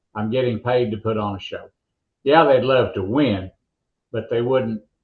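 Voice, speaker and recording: Delivered at a moderate pace, an unremarkable speaking voice carries fairly even intonation. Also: man, medium pitch for a man. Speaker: monster truck announcer. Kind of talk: interview answer.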